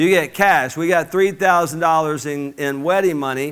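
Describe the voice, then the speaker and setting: The speaker has an Alabama accent and an animated tone, with ordinary pitch variation at a fairly quick pace. The recording is very clean, with a silent background. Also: man. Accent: Southern US (Alabama). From US South, Mobile, Alabama. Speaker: business coach. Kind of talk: motivational speech. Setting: stage with audience.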